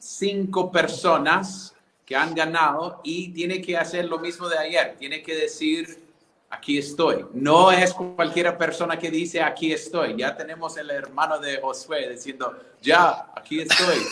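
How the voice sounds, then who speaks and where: A man speaks at a fairly slow pace with an American accent, his pitch high for a man. Music plays in the background, and the room echo is audible. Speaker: church conference co-host. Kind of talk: online conference wrap-up and giveaway announcements.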